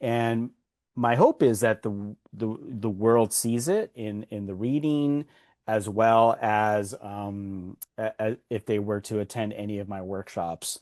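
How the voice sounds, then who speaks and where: Over a quiet background, a man speaks at a very slow pace in a fairly low voice. The sound is dry and close, with no echo. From Los Angeles, US. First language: Spanish. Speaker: author and workshop consultant. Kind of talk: podcast interview. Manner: halting, with many repeated words.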